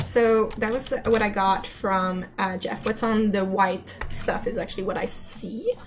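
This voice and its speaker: With music in the background and audible room echo, a woman in a Quebec accent speaks at a fairly slow pace, her fairly high pitch held in fairly even intonation. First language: French. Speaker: game animator. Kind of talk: casual chat. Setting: live stream. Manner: halting.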